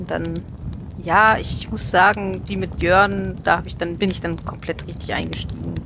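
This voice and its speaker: Noticeable background noise behind a female speaker at a moderate tempo. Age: 30s. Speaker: podcaster and listener. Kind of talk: casual group chat.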